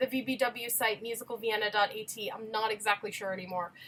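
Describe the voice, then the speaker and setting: A woman speaks in an animated tone that is bright and sharp. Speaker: musical theatre performer and video creator. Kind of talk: casual chat. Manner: fast.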